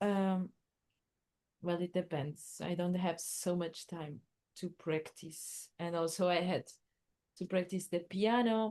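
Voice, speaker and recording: A dark, mellow voice with a Portuguese accent moves at a very slow pace, with long, frequent pauses. Intonation stays fairly even against a quiet background. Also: woman, fairly low pitch for a woman. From Portugal. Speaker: musician and artist. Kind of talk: casual interview chat. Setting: remote call.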